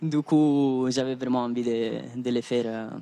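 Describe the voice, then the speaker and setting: A man's dark, mellow tone with a non-native accent. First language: not French (speaking French). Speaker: PhD student, contest winner. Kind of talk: post-win interview. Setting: live TV studio. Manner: halting, many fillers.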